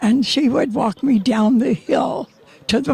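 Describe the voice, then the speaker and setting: The voice has an American accent and lively intonation. It moves at a very slow pace with a dry, close sound and no echo. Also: woman. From Nevada City, California. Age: 90s. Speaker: oral history interviewee. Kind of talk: interview. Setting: outdoors. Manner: halting.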